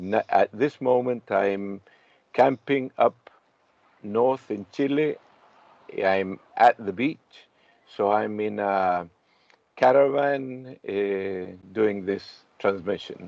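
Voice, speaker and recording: Very slowly, a man speaks in a fairly low pitch, leaving long, frequent pauses. His pitch varies normally, and the sound is dry with no echo. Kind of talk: casual self-introduction on a video call. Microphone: video call.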